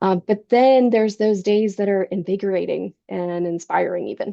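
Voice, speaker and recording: A woman has a plain, everyday voice at medium pitch. She speaks at a fairly slow pace with ordinary pitch variation. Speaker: surgical education program manager presenting a webinar. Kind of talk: webinar presentation.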